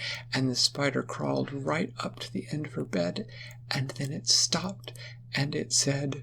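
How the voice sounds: The voice reads aloud naturally. Its intonation sounds lively.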